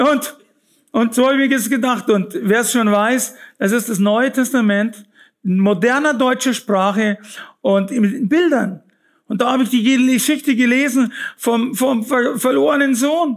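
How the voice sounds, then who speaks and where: A man speaks at an extremely high pitch and a fairly slow pace, with very even loudness and ordinary pitch variation. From Bavaria, Fürstenfeldbruck near Munich. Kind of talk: testimony.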